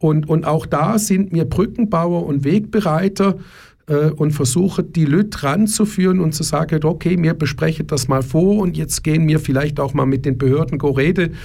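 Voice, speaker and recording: A man's fairly high voice with a dark, mellow tone, at a moderate pace and very even loudness. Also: ordinary pitch variation. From Germany. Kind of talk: radio interview. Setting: radio studio. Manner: repetitive, restarts often.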